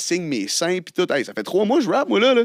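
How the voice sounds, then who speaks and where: A man's very fast speech with lively intonation, on a very clean recording with a silent background. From Quebec, Côte-Nord. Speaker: rapper. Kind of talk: casual chat.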